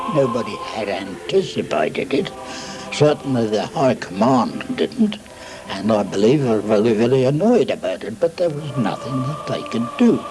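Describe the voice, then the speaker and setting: Music plays in the background as a man talks at a moderate pace. His fairly high voice moves in very wide pitch swings. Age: 80s+. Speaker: war veteran. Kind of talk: interview answer.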